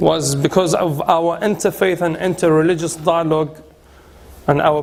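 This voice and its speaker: With a British accent, a man speaks at a fairly high pitch with fairly even intonation. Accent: British-tinged English. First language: Arabic. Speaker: cleric and institute director. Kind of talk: guided tour talk. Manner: halting.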